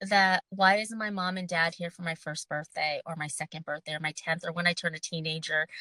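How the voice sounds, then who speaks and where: At a fairly quick pace with hardly any pauses, this voice has a bright, sharp tone and fairly even intonation in a dry, close sound with no echo. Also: woman, fairly low pitch for a woman. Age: 50s. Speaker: long COVID survivor and mental health advocate. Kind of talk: podcast interview.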